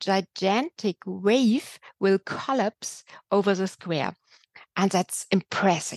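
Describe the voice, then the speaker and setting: Over a quiet background, a woman speaks at a very slow pace and medium pitch with ordinary pitch variation, the sound dry and close with no echo. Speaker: museum curator. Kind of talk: interview.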